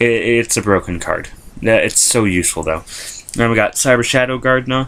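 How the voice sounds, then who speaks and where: Ordinary pitch variation at a fairly quick pace. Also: man. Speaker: YouTuber showing a card game deck. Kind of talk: deck profile video, casual explanation. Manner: fast; hesitant with many fillers.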